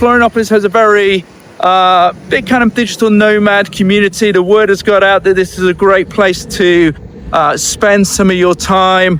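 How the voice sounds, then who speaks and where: Against noticeable background noise, a man speaks with a British accent at a moderate pace. His voice is high, with fairly even intonation and very even loudness. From UK. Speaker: real estate agent. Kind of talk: walking tour vlog. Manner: casual, hesitant with fillers.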